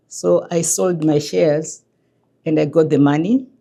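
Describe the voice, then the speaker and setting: A woman speaks with a very deep, low pitch. Her tone is dark and mellow. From Zimbabwe. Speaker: immigrant, former HR director, newcomer support worker. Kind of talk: documentary interview. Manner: slow.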